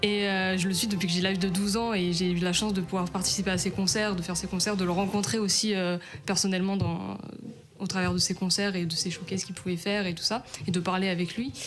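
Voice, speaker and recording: Amid noticeable background noise and audible room echo, a woman talks at a very fast pace in a medium pitch with monotone, flat intonation. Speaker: stage actress. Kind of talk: radio interview. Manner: hesitant, many fillers.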